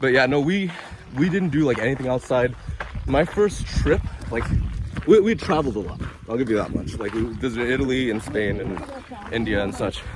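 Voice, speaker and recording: A man with an American accent and medium pitch speaks at a fairly quick pace with lively intonation and long, frequent pauses. Noticeable background noise and audible room echo fill the recording. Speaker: travel vlogger. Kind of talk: casual chat. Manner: loud.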